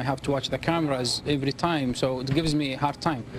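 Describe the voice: A man with a fairly high voice talks fast, his intonation fairly even.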